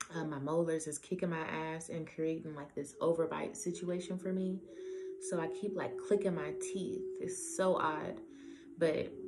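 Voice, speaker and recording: A woman with a fairly low pitch speaks at a moderate pace with fairly even intonation. Music plays in the background, and there is audible room echo. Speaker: tarot reader. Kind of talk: tarot reading monologue. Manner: casual, conversational.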